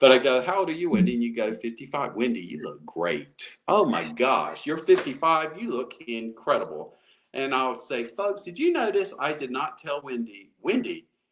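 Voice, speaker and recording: A man with an American accent talks at a moderate pace with a fairly high pitch, very wide pitch swings, vocal fry and hardly any pauses. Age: 60s. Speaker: motivational speaker. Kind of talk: interview. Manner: halting.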